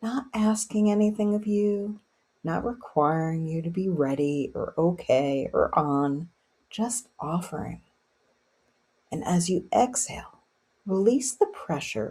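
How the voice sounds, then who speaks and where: A woman talks fairly slowly at a medium pitch, her tone gentle and somewhat breathy. Her intonation is lively. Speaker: meditation guide. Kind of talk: guided meditation. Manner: gentle, soft-spoken, calming.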